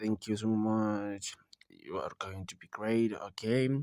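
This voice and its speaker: Speaking very slowly with a non-native accent, a man uses a fairly low pitch, a dark, mellow tone and monotone, flat intonation. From South Africa. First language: not English. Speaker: online money-making video maker. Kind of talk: screen-recorded tutorial. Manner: casual, halting with fillers.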